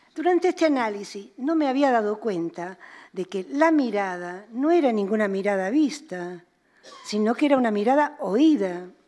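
A woman with a dark, mellow tone and a fairly high pitch speaks at a moderate pace, her pitch swinging very widely. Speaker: psychoanalyst and author; psychoanalyst. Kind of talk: lecture. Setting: museum auditorium with audience. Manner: fluid. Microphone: podium.

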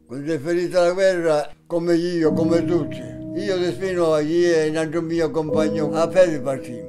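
A man with a fairly high pitch talks at a moderate pace with fairly even intonation and hardly any pauses, while clear music plays in the background. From Sicily. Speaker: war veteran. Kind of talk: interview answer. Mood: earnest, bitter at times. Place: home room.

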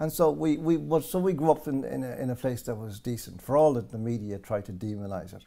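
Over a quiet background, a man with an Irish accent talks at a very fast pace with hardly any pauses, using a dark, mellow tone, very wide pitch swings and big swings in loudness. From Ireland. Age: 60s. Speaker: political commentator. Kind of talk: interview. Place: home room.

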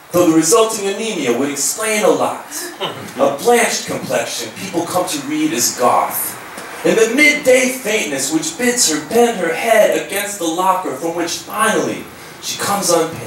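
A man's high-pitched voice with very wide pitch swings at a moderate pace, plus audible room echo and light background noise. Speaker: slam poet. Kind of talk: live poetry performance. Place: hall.

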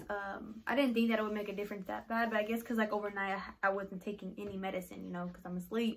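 A woman with fairly even intonation over light background noise. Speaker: vlogger. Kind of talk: casual vlog chat.

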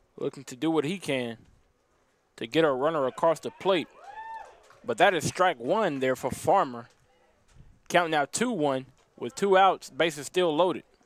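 A man with a normal speaking voice at a fairly high pitch, ordinary pitch variation and a moderate pace. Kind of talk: live baseball play-by-play commentary. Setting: broadcast from ballpark.

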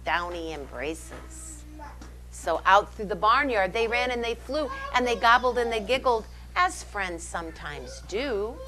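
Faint music can be heard in the background. A woman talks over it at a fairly slow pace. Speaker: storytime reader. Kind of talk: reading a picture book aloud. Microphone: lapel.

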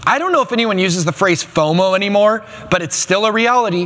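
High-pitched male speech at a fairly quick pace, with lively intonation. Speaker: pastor. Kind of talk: sermon to a congregation. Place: studio. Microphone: lapel.

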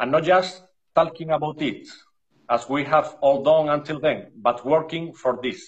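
Against a quiet background, a man with an Andalusian accent talks fairly slowly with fairly even intonation. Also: fairly high pitch for a man. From Spain. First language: Spanish. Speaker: dog breeder. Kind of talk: interview reading prepared notes. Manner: halting. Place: home room. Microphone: video call.

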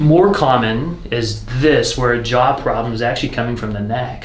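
A man is speaking. Audible room echo and light background noise surround his voice. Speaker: chiropractor. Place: office. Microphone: camera far.

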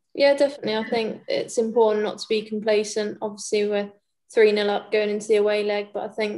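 A woman with an English accent, fairly high-pitched and fairly quick, over a quiet background. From England. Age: 20s. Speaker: professional footballer. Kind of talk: press conference. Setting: video call. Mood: calm, focused. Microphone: video call.

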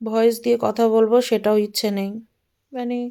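A woman speaks in a fairly high pitch with a dark, mellow tone and monotone, flat intonation. The recording is very clean, with a silent background. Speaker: lifestyle vlogger. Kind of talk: casual vlog talk.

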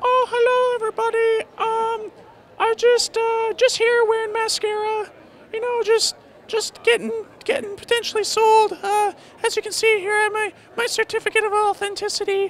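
Pitched extremely high, this is a put-on character voice. Its pace stays moderate. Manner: silly, comedic.

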